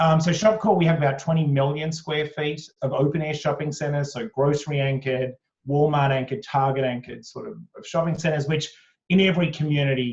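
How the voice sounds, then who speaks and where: A fairly high-pitched, somewhat breathy man's voice in an Australian accent, fairly quick, with ordinary pitch variation and big swings in loudness. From Australia (Sydney). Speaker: company executive. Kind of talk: interview. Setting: video call from home attic. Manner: hesitant, many fillers.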